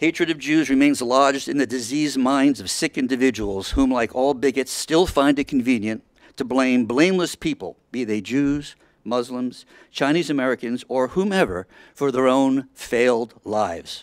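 Over a quiet background, a man's speech runs at a moderate pace and shows ordinary pitch variation. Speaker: resident giving public comment. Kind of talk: prepared public statement. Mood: earnest, indignant. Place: hall. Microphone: podium.

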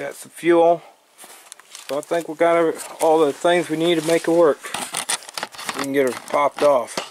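Light background noise is present. Over it, a man talks at a moderate pace. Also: dry sound with no echo. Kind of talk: casual vlog chat. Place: garage. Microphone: phone near.

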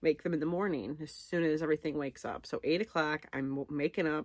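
Fairly even intonation at a moderate pace. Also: woman, quiet background. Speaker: vlogger. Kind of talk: casual vlog chat. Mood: candid, a bit anxious. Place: home room. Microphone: phone near.

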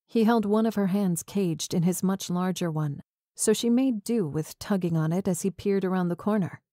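The pitch moves in an ordinary way as a natural voice reads over a quiet background.

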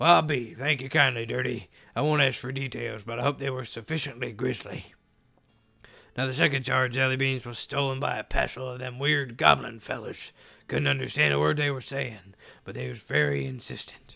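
Putting on a raspy character voice, a man talks at a fairly quick pace with a medium pitch. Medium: game stream.

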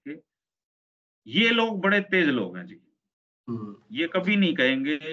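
His pitch swings very widely. The man talks at a fairly slow pace. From Haryana. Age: 40s. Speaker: senior journalist; journalist guest. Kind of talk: interview. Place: home room. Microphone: video call.

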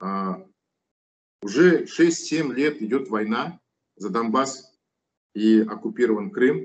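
A man's voice carries vocal fry and swings very widely in pitch. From Kazakhstan. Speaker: opposition politician and activist. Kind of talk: interview. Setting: studio. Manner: long-winded, with many filler sounds. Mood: serious political discussion. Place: home room. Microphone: video call.

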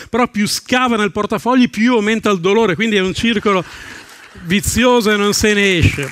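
Over crowd noise, a man talks at a fairly quick pace in a high pitch, the sound dry with no echo. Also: ordinary pitch variation. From northern Italy, Salò on Lake Garda (Lombardy); Lombardy, Italy. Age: 50s. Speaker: stand-up comedian. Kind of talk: stand-up. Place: stage. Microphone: headset.

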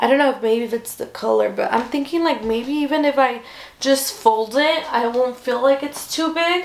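Here a woman speaks in a high pitch at a moderate pace. Her pitch varies in an ordinary way, and the room echo is audible. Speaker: haul vlogger. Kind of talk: casual vlog chat. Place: home room. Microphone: camera far.

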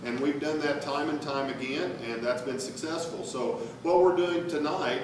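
A man with ordinary pitch variation talks at a moderate pace, his voice carrying audible room echo amid noticeable background noise. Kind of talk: public presentation. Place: hall. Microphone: camera far.

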